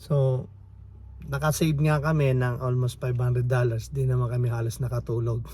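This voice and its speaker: A somewhat breathy voice with a dark, mellow tone and ordinary pitch variation. Loudness stays very even at a fairly quick pace. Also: man, medium pitch for a man. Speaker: family vlogger. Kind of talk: casual vlog. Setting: outdoors at campsite, in van. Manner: quiet; halting.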